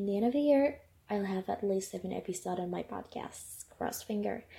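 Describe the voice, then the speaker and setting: A woman's dark, mellow, somewhat breathy voice with lively intonation. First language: not English. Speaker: podcaster. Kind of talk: casual personal podcast monologue.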